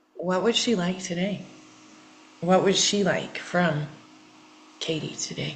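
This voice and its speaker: Against audible room echo, a woman with a fairly low pitch talks at a fairly slow pace with long, frequent pauses. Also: fairly even intonation. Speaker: healing coach. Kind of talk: therapeutic coaching session. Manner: repetitive, halting.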